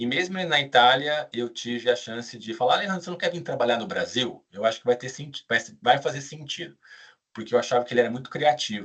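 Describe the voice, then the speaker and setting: Speaking at a fairly quick pace, a man uses lively intonation with big swings in loudness. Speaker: business school director, former auditor. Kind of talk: live webinar presentation. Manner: casual.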